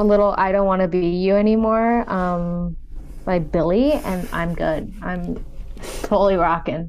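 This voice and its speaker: Noticeable background noise runs under a woman's voice. She has a medium pitch with ordinary variation. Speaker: podcast co-host. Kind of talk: casual chat. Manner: animated.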